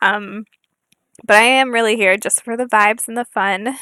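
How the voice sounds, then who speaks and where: A soft-spoken woman talks in a bright, sharp tone with fairly even intonation. The recording is very clean and dry, close with no echo and a silent background. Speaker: gaming YouTuber. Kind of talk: casual gameplay chat. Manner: halting, many fillers.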